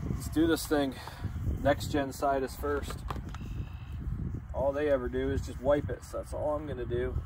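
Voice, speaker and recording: With noticeable background noise but a dry sound with no echo, a man talks at a moderate pace. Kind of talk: casual tutorial vlog. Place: open country. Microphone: camera far.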